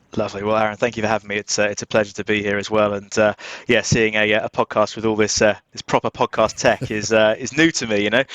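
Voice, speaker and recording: A man with an English accent speaks very fast with hardly any pauses, in a fairly low, monotone, flat voice. The sound is dry and close with no echo, over a quiet background. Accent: English accent, noticeable. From southern England, just outside London. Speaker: cybersecurity recruitment director. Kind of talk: podcast interview.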